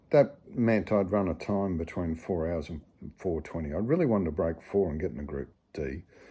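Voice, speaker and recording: Speaking with an Australian accent at a moderate pace, a man with a very deep, low pitch and a dark, mellow tone uses lively intonation and vocal fry, recorded very cleanly against a silent background. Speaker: amateur ultramarathon runner. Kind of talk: casual storytelling to camera. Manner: humorous, conversational.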